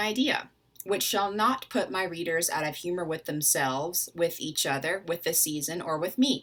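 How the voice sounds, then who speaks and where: With an American accent, a woman speaks at a moderate pace in a bright, sharp tone with lively intonation, captured in a very clean recording with a silent background. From US South, Atlanta, Georgia. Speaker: literature scholar. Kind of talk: educational talk. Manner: casual, with fillers.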